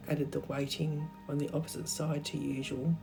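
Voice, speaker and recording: Over music in the background, a woman with a croaky, very deep, low pitch speaks at a moderate pace in a calm, relaxed tone. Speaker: art teacher. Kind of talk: craft tutorial narration.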